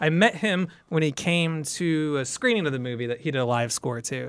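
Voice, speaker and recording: A man with an ordinary speaking voice talks at a moderate pace, his pitch varying in an ordinary way. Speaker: TV producer and writer. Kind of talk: casual chat.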